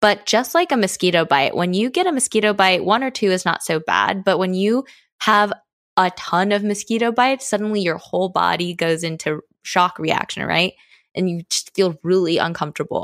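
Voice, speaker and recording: A woman with a plain, everyday voice and an American accent speaks at a moderate pace in a medium pitch with ordinary pitch variation. The recording is very clean with a silent background, its sound dry and close with no echo. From United States. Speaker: diversity and inclusion trainer, podcast co-founder. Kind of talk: casual interview discussion.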